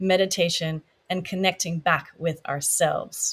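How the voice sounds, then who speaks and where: A woman's somewhat breathy, medium-pitched voice on a very clean recording with a silent background. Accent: Dutch. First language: Dutch. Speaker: podcast host. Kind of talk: interview.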